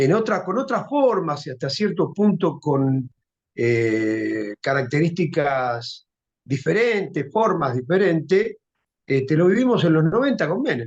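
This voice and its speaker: At a fairly slow pace, the speaker uses an Argentine accent with very wide pitch swings. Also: man, fairly high pitch for a man. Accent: Rioplatense Argentine Spanish. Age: 60s. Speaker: social movement leader. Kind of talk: interview.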